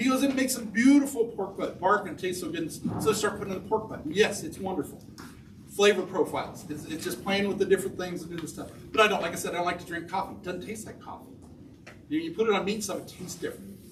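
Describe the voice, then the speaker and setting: A man with a Midwestern American accent talks at a very fast pace in a high pitch, his tone animated and his pitch varying in an ordinary way. His loudness swings widely, and there is audible room echo along with noticeable background noise. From Kansas, Topeka. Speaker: spice shop owner. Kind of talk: lecture.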